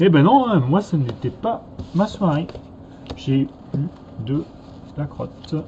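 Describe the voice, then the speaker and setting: Slow to a crawl and full of long, frequent pauses, a man speaks with a slight Norman accent, lively intonation and a fairly high pitch. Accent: slight Normandy. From Normandy, France. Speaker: card game youtuber. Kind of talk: casual chat.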